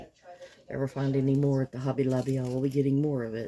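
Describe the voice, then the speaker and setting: A woman's very deep, low voice with a slight Kentucky accent, very fast delivery, and noticeable background noise. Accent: slight Southern US (Kentucky). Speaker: resin crafter. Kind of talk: craft tutorial. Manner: casual, chatty.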